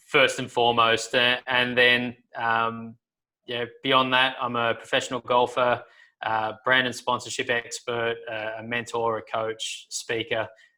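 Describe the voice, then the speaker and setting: A fairly slow, flat monotone with an Australian accent, bright and sharp in tone, on a very clean recording with a silent background. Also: man, medium pitch for a man. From Australia, Sydney. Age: 30s. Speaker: professional golfer. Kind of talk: casual interview chat.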